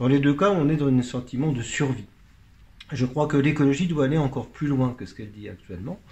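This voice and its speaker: With a dark, mellow tone and a somewhat breathy quality, a man speaks at a fairly quick pace and a medium pitch. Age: 60s. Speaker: pianist and author. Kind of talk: radio interview.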